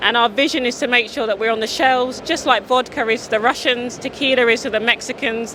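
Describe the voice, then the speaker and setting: A woman with a British accent talks very fast, in a high voice with fairly even intonation and hardly any pauses. Noticeable background noise runs beneath her. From UK. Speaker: drinks entrepreneur. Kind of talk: sales pitch. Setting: community event.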